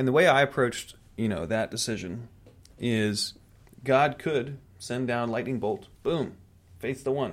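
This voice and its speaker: A man speaks at a fairly slow pace and medium pitch, with ordinary pitch variation and long, frequent pauses. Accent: American. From Raleigh, North Carolina, US South. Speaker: podcast guest, host's fiancé. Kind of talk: casual chat.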